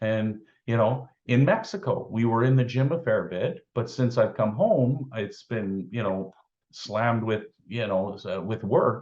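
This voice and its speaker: A somewhat breathy man at a fairly slow pace. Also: medium pitch for a man, ordinary pitch variation. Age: 50s. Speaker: weight loss success story. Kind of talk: interview. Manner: halting, many fillers.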